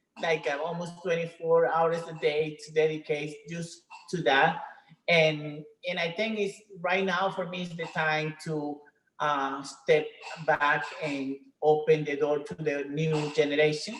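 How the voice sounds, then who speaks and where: A woman with a very deep, low pitch, fairly even intonation and big swings in loudness. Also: fairly slow pace. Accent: Spanish. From Venezuela. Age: 50s. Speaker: retired professional bodybuilder. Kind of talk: interview. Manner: halting.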